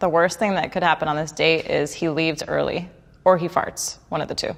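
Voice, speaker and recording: A woman with an American accent at a fairly quick pace and fairly even intonation, in a very clean recording with a silent background. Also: fairly low pitch for a woman. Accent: slight New York accent on some words. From New York City (Queens). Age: 30s. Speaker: high school math teacher on a blind date. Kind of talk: interview monologue.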